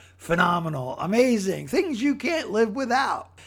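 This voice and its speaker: Over noticeable background noise, a man with an American accent talks at a moderate pace, his pitch swinging very widely. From Philadelphia, Pennsylvania. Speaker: podcast host. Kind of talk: casual solo monologue. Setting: home recording. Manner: halting, many repeated words.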